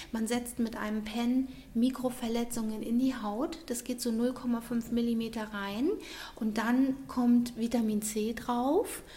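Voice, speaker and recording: Her pitch high and her intonation fairly even, a woman speaks at a very slow pace. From Munich, Bavaria. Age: 40s. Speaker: beautician. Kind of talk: interview. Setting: studio.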